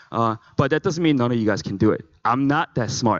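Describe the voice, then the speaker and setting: Someone with a non-native accent speaks at a fairly quick pace with ordinary pitch variation, recorded dry and close with no echo. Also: man. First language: not English. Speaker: conference speaker. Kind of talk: motivational talk.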